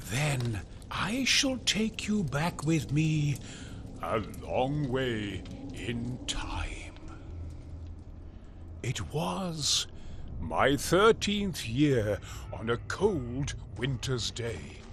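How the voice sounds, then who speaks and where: A man's put-on character voice at medium pitch, very slow and full of long, frequent pauses, over loud background noise. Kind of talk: epic spoken-word narration. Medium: audio drama. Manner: slow, grave, solemn.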